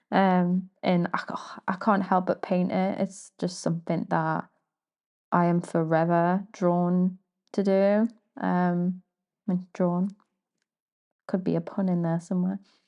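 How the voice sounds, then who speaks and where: Against a quiet background, a woman speaks at a medium pitch in a dark, mellow tone, with monotone, flat intonation, a fairly slow pace and long, frequent pauses. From northeast England, Newcastle. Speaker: artist, podcaster. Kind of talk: casual monologue. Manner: hesitant, many fillers.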